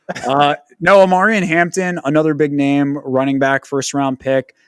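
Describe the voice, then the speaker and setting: An unremarkable speaking voice with ordinary pitch variation comes through dry and close with no echo, in a very clean recording with a silent background. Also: man. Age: 30s. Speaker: fantasy football podcast host. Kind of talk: casual podcast discussion.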